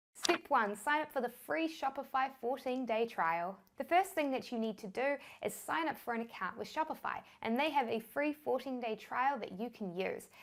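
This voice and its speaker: A woman speaks at a high pitch with a New Zealand accent. Her pace is fairly quick. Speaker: online business educator. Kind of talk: tutorial.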